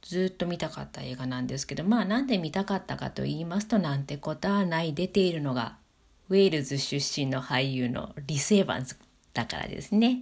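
Her voice sits very deep and low, and this woman talks at a fairly quick pace. She uses lively intonation. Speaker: podcaster. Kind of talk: solo talk monologue. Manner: casual with fillers.

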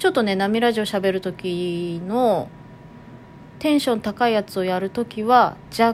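A woman talks at a fairly slow pace in a medium pitch. Her pitch varies in an ordinary way. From Toyama, Japan (Nanto). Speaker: podcast host. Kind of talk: casual monologue.

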